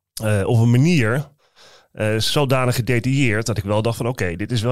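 A man's normal speaking voice at a fairly quick pace with ordinary pitch variation, on a very clean recording with a silent background. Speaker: criminal defense lawyer, co-host. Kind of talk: podcast conversation.

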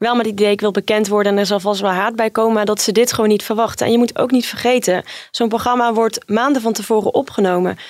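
A woman with a fairly high pitch talks very fast in a flat monotone at a very even loudness, on a very clean recording with a silent background. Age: 30s. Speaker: journalist, reality TV expert. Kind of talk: casual chat.

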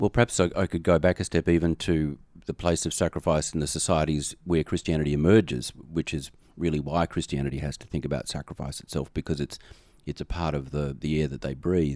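Dry, close, and without echo, this recording has a man with a very deep, low pitch and an American accent. He speaks at a fairly quick pace with fairly even intonation. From Australia. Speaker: theology professor and dean. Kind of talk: podcast interview.

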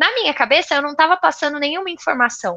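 A woman projects her raised voice with a bright, sharp tone. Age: 20s. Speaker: software QA tester and tech influencer. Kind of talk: interview.

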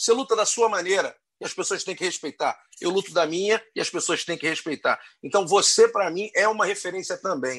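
Against a quiet background, a man with a high pitch speaks at a fairly quick pace with ordinary pitch variation. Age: 50s. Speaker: podcast host. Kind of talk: casual chat.

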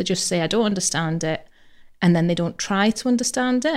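A woman talks at a medium pitch in a plain, everyday voice. Her pitch varies in an ordinary way. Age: 40s. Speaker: pensions training manager. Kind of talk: casual chat.

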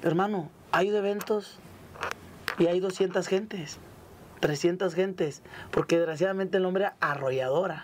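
The speaker moves at a fairly slow pace with long, frequent pauses. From Nuevo Laredo, Tamaulipas, northern Mexico. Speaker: singer. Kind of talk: casual interview chat. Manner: animated.

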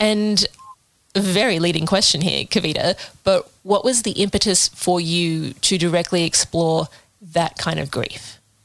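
Speaking at a fairly slow pace, a woman with an Australian accent uses a fairly low pitch and ordinary pitch variation. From Sydney, Australia. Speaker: podcast co-host. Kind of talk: interview.

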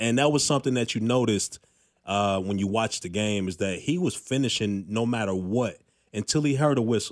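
A man with an American accent talks at medium pitch with ordinary pitch variation, in an ordinary speaking voice. The recording is very clean, with a silent background. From Chicago. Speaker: former NFL linebacker, sports podcast co-host. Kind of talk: casual sports talk chat. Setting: studio.

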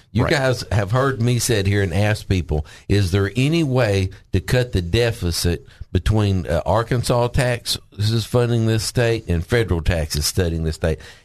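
This man talks at a moderate pace with a fairly low pitch, lively intonation, hardly any pauses and very even loudness. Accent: Southern US. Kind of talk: casual chat. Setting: studio.

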